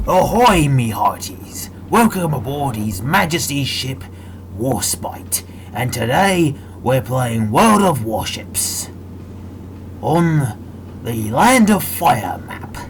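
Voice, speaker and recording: A put-on character voice from a man, medium in pitch, at a very slow pace over clear background noise. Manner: playful, theatrical.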